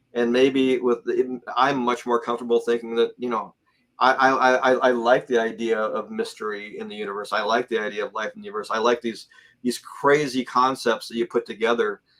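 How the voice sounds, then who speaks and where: A man at medium pitch and a fairly quick pace, fairly even intonation, big swings in loudness. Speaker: guest on UFO talk show, works in space industry. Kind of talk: casual interview chat. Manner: fast; halting, many repeated words.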